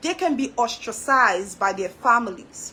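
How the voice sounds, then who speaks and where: A woman uses a raised, projected voice with a Trinidadian accent. Her pitch swings very widely, and her pace is fairly slow. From Trinidad and Tobago. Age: 40s. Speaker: social commentary vlogger. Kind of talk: monologue commentary. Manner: halting.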